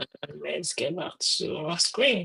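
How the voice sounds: The tone is bright and sharp, with a husky, rough edge. Vocal fry runs through it.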